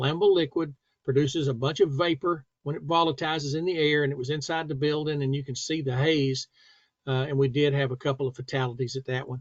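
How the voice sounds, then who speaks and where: A man with a plain, everyday voice, a fairly high pitch, fairly even intonation and a fairly quick pace. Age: 60s. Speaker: safety instructor. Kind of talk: tutorial. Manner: casual.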